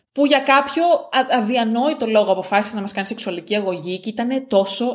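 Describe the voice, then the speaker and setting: A woman speaks at medium pitch and a moderate pace with lively intonation. Noticeable background noise runs underneath. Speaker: podcast co-host. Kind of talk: casual chat. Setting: on a farm on an island.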